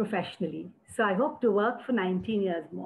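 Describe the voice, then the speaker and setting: The speaker has an Indian accent. Pitch variation is ordinary. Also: woman. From India, Uttar Pradesh. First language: Hindi. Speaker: entrepreneur. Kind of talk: panel discussion. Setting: webinar.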